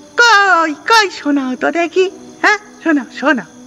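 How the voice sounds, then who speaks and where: A man uses a put-on character voice at an extremely high pitch. He talks at a fairly slow pace over clear music in the background. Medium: read story. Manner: bossy, brusque.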